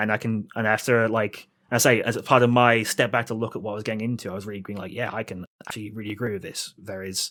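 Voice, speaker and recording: With a British accent, a man speaks at a medium pitch in a flat monotone, the sound dry and close with no echo. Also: very clean recording, silent background. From Britain. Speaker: wargaming blogger. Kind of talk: podcast interview. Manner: halting, many fillers.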